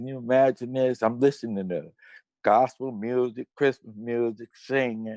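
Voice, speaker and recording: Recorded dry and close with no echo, a man with an American accent talks at a moderate pace in a medium pitch, with a dark, mellow tone and fairly even intonation. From Cincinnati, Ohio, US Midwest. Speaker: death row exoneree, activist. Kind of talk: testimony.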